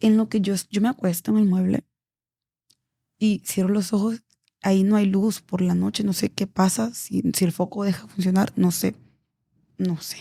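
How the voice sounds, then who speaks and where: A woman's fairly slow, somewhat breathy delivery, dark and mellow, flat and monotone, with long, frequent pauses and a dry, close sound with no echo. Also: medium pitch for a woman, very clean recording, silent background. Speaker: embalmer and auxiliary nurse. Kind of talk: podcast interview storytelling.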